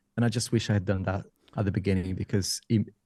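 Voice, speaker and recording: Man with a non-native accent, a dark, mellow tone and fairly even intonation. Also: dry, close sound with no echo. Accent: noticeable non-native. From Brazil. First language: Portuguese. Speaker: tech YouTuber and IT consultant. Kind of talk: interview. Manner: conversational, with hesitations.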